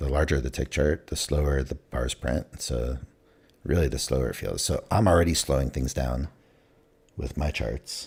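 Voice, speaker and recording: A very deep, low male voice with vocal fry, fairly even intonation and a moderate pace. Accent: American. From California. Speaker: day trader livestreamer. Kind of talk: casual live-stream commentary. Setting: live stream. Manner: hesitant, many fillers.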